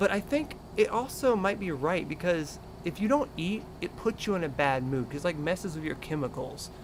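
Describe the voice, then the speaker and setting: A man with a Florida accent speaks high and at a moderate pace, relaxed in tone with lively intonation, over noticeable background noise. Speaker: gaming live streamer. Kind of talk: casual live stream chat. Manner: relaxed, conversational.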